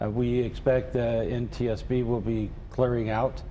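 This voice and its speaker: The speaker's intonation is monotone and flat, with audible room echo. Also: man. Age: 60s. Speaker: mayor. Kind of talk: TV news interview. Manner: halting, many fillers.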